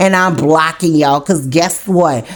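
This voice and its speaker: A woman speaks at a moderate pace in a New Orleans accent, her tone animated. Noticeable background noise runs underneath. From New Orleans, US South. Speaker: YouTube commentator. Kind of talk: commentary monologue.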